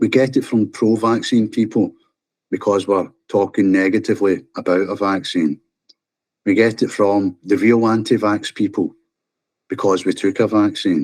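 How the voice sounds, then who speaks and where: A man's passionate, fairly low-pitched voice with a Scottish accent and fairly even intonation. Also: moderate pace. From Scotland. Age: 50s. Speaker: vaccine-injured scaffolder. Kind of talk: interview testimony. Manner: passionate, forceful.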